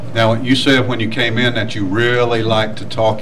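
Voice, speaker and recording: A man's medium-pitched, monotone, flat delivery at a fairly quick pace, with audible room echo and noticeable background noise. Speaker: sports radio host. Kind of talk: interview. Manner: loud.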